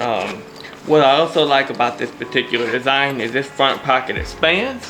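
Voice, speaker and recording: Music plays in the background. A man talks with a Louisiana accent. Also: medium pitch for a man, ordinary pitch variation, moderate pace. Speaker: YouTuber reviewing gear. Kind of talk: casual show-and-tell.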